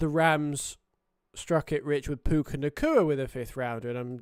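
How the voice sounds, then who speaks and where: A man speaks with a British accent in a fairly high pitch, his intonation fairly even. The recording is very clean, with a silent background. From Britain. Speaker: sports streamer. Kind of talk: casual live stream chat. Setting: live stream. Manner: hesitant, many fillers.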